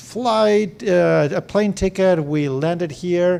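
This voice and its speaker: The speaker is a man. He talks with an Argentine accent. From Argentina. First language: Spanish. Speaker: venture capital investor. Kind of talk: fireside chat talk to founders.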